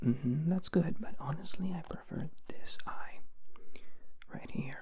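A man whispering at a fairly slow pace. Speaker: ASMR creator. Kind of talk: ASMR role play, soft close talk. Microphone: handheld.

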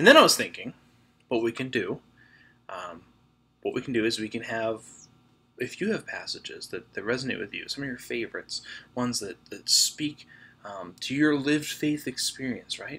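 The speech moves at a moderate pace with long, frequent pauses and ordinary pitch variation. Loudness swings widely throughout. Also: man. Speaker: church devotional host. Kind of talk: casual devotional talk. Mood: warm, friendly. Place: home room. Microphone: webcam.

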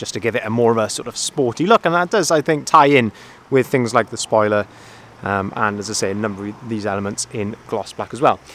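A man at a fairly quick pace, with a dry sound and no echo. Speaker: van sales manager. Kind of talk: walk-around product review. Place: street. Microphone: phone near.

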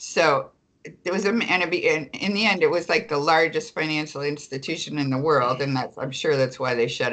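A woman speaks in a very deep, low voice for a woman, with ordinary pitch variation. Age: old. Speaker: attorney and public banking advocate, author; attorney. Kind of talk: interview. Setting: remote call. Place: home room. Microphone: video call.

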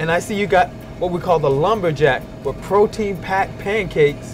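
Over clear music in the background, a man with a high pitch speaks at a moderate pace with ordinary pitch variation. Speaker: show host. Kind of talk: food show hosting chat. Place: cafe. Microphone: lapel.

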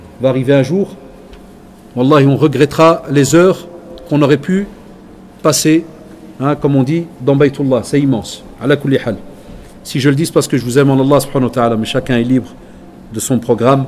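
Fairly high male voice at a fairly quick pace, with ordinary pitch variation, long, frequent pauses and noticeable background noise. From Belgium. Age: 40s. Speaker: Islamic teacher. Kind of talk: religious lecture.

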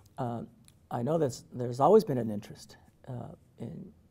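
At a fairly quick pace, a man with an American accent speaks in a somewhat breathy, dark, mellow tone at medium pitch with ordinary pitch variation. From US-Mexico border, Calexico, California; California. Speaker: professor. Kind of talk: interview. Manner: halting. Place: meeting room.

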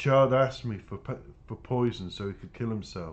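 A man speaks at a moderate pace, and his pitch varies in an ordinary way. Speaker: author reading own book. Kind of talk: reading aloud. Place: home room.

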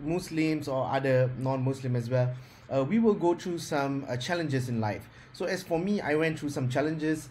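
A man talks at a moderate pace. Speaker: speaker. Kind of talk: interview answer. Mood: reflective, personal story. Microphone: video call.

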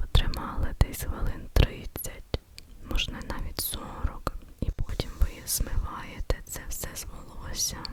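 A woman whispers in a gentle tone at a very slow pace, with big swings in loudness. There is noticeable background noise. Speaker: ASMR creator. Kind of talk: casual talk to camera, product show and tell. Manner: soft, gentle, whispery.

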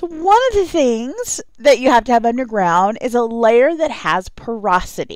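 This woman has a plain, everyday voice, fairly high in pitch. She speaks at a moderate pace with lively intonation. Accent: American. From Texas. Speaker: geology instructor. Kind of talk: lecture.

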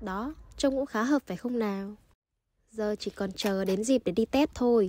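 A woman speaks at a fairly slow pace in a dark, mellow tone, her pitch fairly high with ordinary variation. The sound is dry and close with no echo. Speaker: Vietnamese student in Japan, vlogger. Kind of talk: vlog voice-over narration. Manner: uneven pitch.

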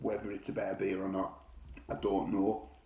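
A man speaks at a moderate pace. Audible room echo surrounds the voice. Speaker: beer reviewer. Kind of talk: casual review chat. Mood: enthusiastic, relaxed. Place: home room. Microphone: phone near.

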